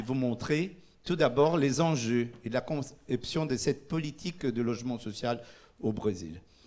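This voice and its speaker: A man with a Portuguese accent at a medium pitch, with ordinary pitch variation and a fairly slow pace. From Brazil. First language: Portuguese (speaking French). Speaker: urban policy official. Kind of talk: conference presentation. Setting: conference in Paris. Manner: halting, many hesitations.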